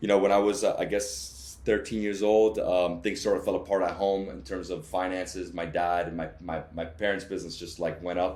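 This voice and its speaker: A man with a Miami accent speaks at a fairly quick clip with hardly any pauses, his very deep, low voice showing vocal fry and ordinary pitch variation over audible room echo. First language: Spanish. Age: 30s. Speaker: travel vlogger. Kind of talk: interview. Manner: many fillers and restarts.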